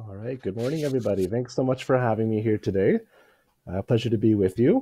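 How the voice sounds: A man talks fast in a fairly low, dark, mellow voice that is raspy with a slightly husky edge. His intonation is lively, and the sound is dry and close with no echo.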